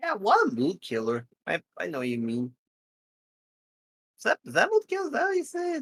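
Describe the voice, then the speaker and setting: The speech moves at a moderate pace. Long pauses come often. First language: not English. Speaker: streamer guest. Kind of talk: casual chat. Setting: live stream.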